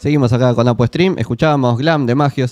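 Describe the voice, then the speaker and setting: A man rattles off his words very quickly while noticeable noise fills the background. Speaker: stream host. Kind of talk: casual chat; presenting segments.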